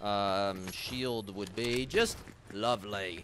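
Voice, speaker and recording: A man with an American accent speaks in a fairly low pitch with ordinary variation. The sound is dry with no echo, though background noise is noticeable. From US Northeast, Connecticut. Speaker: live streamer. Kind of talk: casual chat, live gaming stream. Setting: online stream, studio. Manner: animated, chatty. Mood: relaxed, joking.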